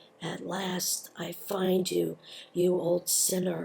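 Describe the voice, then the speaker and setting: A raspy, put-on character voice at a middle pitch and a very slow pace. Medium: read story.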